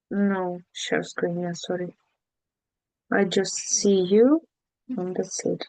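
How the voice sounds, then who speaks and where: Speaking very slowly with long, frequent pauses, a woman of medium pitch uses ordinary pitch variation and a dark, mellow tone. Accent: non-native. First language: not English. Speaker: language student. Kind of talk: casual chat. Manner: halting.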